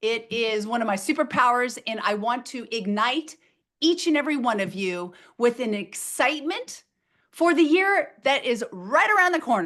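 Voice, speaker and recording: Loud and energetic, a woman speaks at a moderate pace with a high pitch that swings very widely. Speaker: motivational speaker. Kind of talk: webinar presentation. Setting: video webinar.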